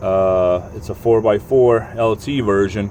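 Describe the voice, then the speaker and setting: Ordinary pitch variation in a man's voice, with noticeable background noise. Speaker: car owner making a DIY repair video. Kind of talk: casual tutorial. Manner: halting, self-described stuttering.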